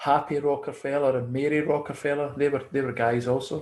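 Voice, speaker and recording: Flat and monotone, the speech comes in a Scottish accent. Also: man, very clean recording, silent background. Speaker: conspiracy theory commentator. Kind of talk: casual chat.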